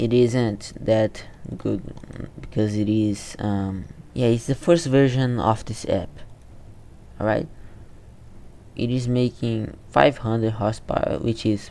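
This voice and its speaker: A man with a non-native accent speaks at a medium pitch in a dark, mellow tone, with ordinary pitch variation. His pace is fairly slow, with long, frequent pauses. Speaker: game development youtuber. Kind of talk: screen-recorded tutorial. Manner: halting, repeats words.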